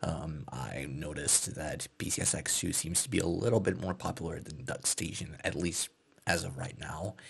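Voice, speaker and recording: Soft-spoken, a man with a very deep, low pitch and vocal fry talks at a moderate pace with lively intonation. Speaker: ASMR gaming creator. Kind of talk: casual talk to camera, ASMR gameplay commentary. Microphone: studio mic.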